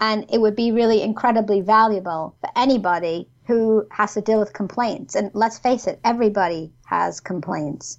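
With a New York accent, a woman talks at a moderate pace and a fairly high pitch, using ordinary pitch variation. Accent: New York American. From New York, US. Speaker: complaints consultant and former ombudsman. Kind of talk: casual interview chat. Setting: video call.

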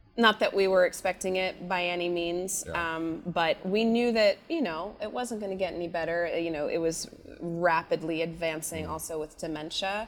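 Captured in a very clean recording with a silent background, a plain, everyday voice with an American accent keeps a fairly even intonation. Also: woman. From Maine, US. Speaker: musical theatre actress. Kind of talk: interview.

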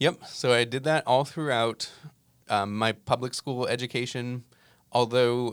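On a very clean recording with a silent background, the speaker has a plain, everyday voice with an American accent, moving at a moderate pace with fairly even intonation. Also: man. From US Northeast, New Jersey. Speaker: musician and app founder. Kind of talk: interview. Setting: studio.

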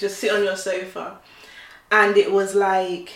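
Audible room echo trails the voice of a woman as she talks. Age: 30s. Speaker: podcast co-host. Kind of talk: casual chat.

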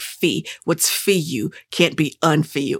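In a raspy, put-on character voice of middle pitch, the speaker goes at a fairly slow pace.

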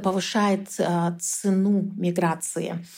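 A woman with a medium pitch speaks in a dark, mellow tone and monotone, flat intonation on a very clean recording with a silent background. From Kyrgyzstan. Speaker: researcher. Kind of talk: interview.

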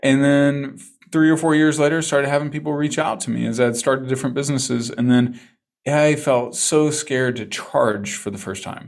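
With audible room echo, a man speaks at a moderate pace, his fairly high pitch held in fairly even intonation. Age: 40s. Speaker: business coach and speaker. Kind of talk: interview conversation.

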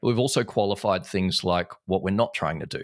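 In a very clean, dry and close recording with a silent background and no echo, a man with an Australian accent talks at a fairly quick pace. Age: 30s. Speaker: entrepreneur and business owner. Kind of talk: casual interview chat.

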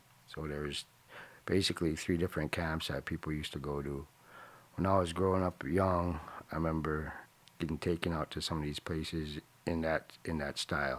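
A man with a very deep, low pitch speaks at a fairly quick pace in a monotone, flat intonation. His speech has long, frequent pauses. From Alaska interior village. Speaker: village chief. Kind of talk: interview, storytelling.

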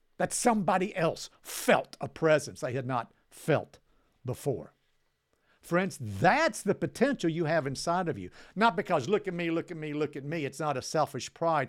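A man's animated, fairly high voice with lively intonation at a moderate pace, on a very clean recording with a silent background. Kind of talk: teaching. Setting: studio video recording.

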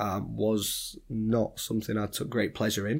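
A man with a Yorkshire accent, fairly low in pitch, at a fairly slow pace. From Sheffield, northern England. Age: 20s. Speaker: property entrepreneur. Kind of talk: interview.

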